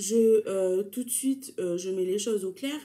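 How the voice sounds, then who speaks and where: The woman's tone is dark and mellow. Her pitch is medium and varies in an ordinary way. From New Caledonia (Kanak). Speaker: YouTuber. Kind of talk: casual talk to camera.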